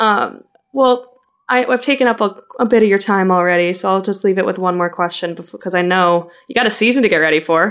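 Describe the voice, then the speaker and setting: A woman with an ordinary speaking voice, medium in pitch, talks at a fairly quick pace with ordinary pitch variation. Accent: American. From US Midwest, Chicago. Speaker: podcast host, trade journalist. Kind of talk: interview.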